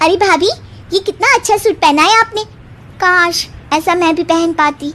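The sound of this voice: She uses a cartoonish character voice pitched extremely high, keeping her loudness very even throughout. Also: moderate pace.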